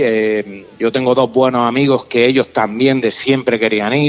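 A man speaks at a fairly slow pace and a medium pitch, with noticeable background noise. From Catalonia, raised in Almería. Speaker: motorcycle traveller, tattoo artist. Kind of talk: casual chat, travel storytelling.

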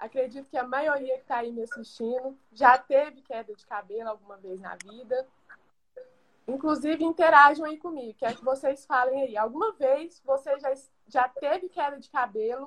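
A woman speaks in a high voice. Her loudness swings widely. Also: ordinary pitch variation, moderate pace. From Brazil, Goiás. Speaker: pharmacist. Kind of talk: livestream talk. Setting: online livestream.

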